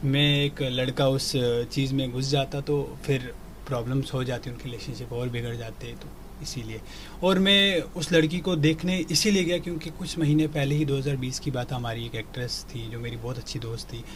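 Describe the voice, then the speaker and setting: Audible room echo surrounds a man's voice. His pitch is medium, with ordinary variation. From Kashmir, India. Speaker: TV actor. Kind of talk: interview. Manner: halting.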